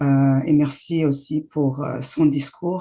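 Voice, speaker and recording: Against a quiet background, a woman speaks with a very deep, low pitch, a dark, mellow tone and monotone, flat intonation. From grew up in exile outside Rwanda. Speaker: event patron, activist. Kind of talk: speech. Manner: hesitant, many fillers.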